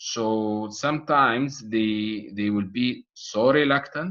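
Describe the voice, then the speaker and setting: In a non-native accent, a man speaks at medium pitch with ordinary pitch variation. The background is quiet. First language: not English. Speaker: medical exam tutor. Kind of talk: online course lecture. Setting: online video session with chat. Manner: halting, many fillers and repetitions.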